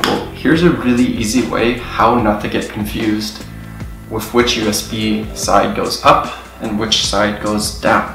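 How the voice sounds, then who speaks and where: A man's voice with clear music in the background and audible room echo. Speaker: tech video host. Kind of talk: tutorial. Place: home room.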